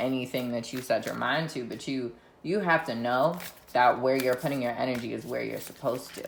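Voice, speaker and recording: The speaker talks at a moderate pace in an animated tone, with noticeable background noise behind. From US, Philadelphia. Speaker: tarot reader. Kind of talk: tarot reading. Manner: casual, animated.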